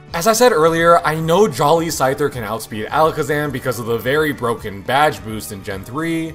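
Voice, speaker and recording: Music plays in the background. Over it, a man talks at a fairly quick pace with a fairly high pitch. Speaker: gaming YouTuber. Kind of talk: gameplay commentary narration. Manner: upbeat.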